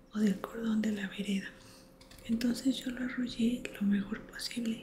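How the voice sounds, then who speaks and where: Soft-spoken at a fairly slow pace, the voice sits over noticeable background noise. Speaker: ASMR creator. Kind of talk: bedtime book reading.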